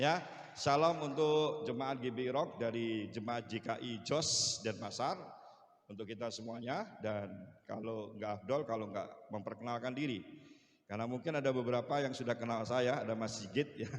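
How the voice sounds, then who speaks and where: Audible room echo carries a man's medium-pitched voice, which moves at a moderate pace with ordinary pitch variation. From Bali, partly raised in Surabaya. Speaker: pastor. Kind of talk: sermon.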